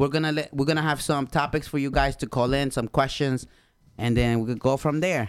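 Here a man speaks with a Spanish accent at a fairly high pitch. The recording is very clean, with a silent background. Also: fairly quick pace. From Honduras. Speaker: podcast co-host. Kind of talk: casual chat. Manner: animated.

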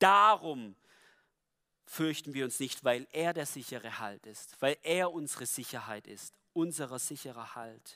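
The man's voice is fairly high-pitched and bright and sharp, with lively intonation and big swings in loudness. He goes at a fairly slow pace in a very clean recording with a silent background. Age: 20s. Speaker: lay preacher. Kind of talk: sermon.

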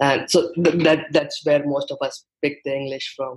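With an Indian accent, a man speaks at a moderate pace and fairly high pitch, somewhat breathy and in a monotone, flat intonation. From India, Mumbai. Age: 20s. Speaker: guest, young freelancer. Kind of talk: casual interview chat.

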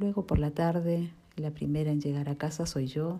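A woman's very deep, low, somewhat breathy voice with a dark, mellow tone and fairly even intonation. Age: 40s. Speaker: office employee and mother. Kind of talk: reading aloud. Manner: formal.

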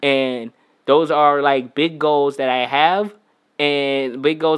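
With fairly even intonation and a fairly high pitch, a man talks in an ordinary speaking voice. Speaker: musician. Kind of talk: casual chat.

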